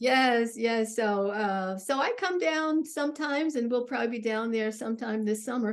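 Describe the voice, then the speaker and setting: A woman's high pitch with lively intonation at a moderate pace. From Jackson, Tennessee. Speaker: interview show host. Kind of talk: interviewer questions.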